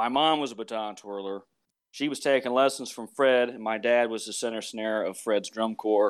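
This man has a plain, everyday voice with an American accent, medium pitch and fairly even intonation at a moderate pace. The recording is very clean, with a silent background. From northern Virginia, US. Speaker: military musician and drum corps judge. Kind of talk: casual interview.

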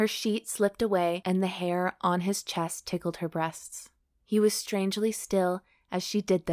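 Plain reading aloud, its intonation fairly even

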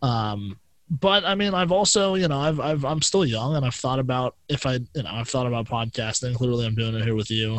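A man with a plain, everyday voice talks at a medium pitch and a fairly quick pace, with lively intonation and hardly any pauses. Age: 20s. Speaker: podcast guest. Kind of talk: casual chat.

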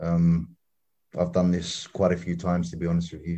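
A man's very deep, low voice with a dark, mellow tone against a quiet background. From London, England. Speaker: activist. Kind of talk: interview.

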